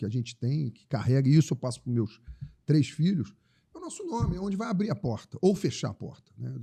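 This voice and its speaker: The voice has a dark, mellow tone, a somewhat breathy quality and very wide pitch swings. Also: man. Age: 60s. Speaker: tourism entrepreneur. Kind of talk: interview conversation. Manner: halting, many repetitions.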